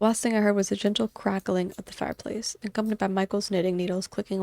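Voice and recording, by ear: With fairly even intonation, a passage is read aloud in a natural voice.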